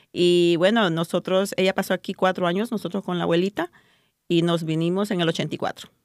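A woman's ordinary speaking voice, fairly low-pitched with fairly even intonation, at a moderate pace, on a very clean recording with a silent background and a dry, close sound with no echo. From El Salvador. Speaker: pro-life volunteer. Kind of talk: testimony.

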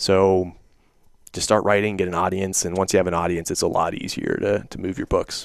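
With an American accent, a man speaks at a very deep, low pitch. His intonation is monotone and flat. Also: fairly quick pace. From southwestern Pennsylvania. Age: 20s. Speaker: author and entrepreneur. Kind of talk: interview.

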